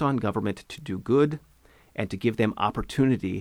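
An ordinary speaking voice with an American accent, fairly quick pace and ordinary pitch variation, in a very clean recording with a silent background. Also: man. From Eastern Washington, US (Ellensburg). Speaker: congressional candidate, former prosecutor. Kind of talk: interview.

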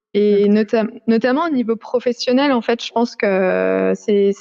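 A woman is speaking. Her pitch is medium. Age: 30s. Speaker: family caregiver. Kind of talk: interview testimony. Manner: halting, many filler hesitations.

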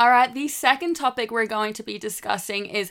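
With an Australian accent and a bright, sharp tone, a woman speaks at a moderate pace with lively intonation on a very clean recording over a silent background. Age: 20s. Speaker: social media creator. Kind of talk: podcast monologue.

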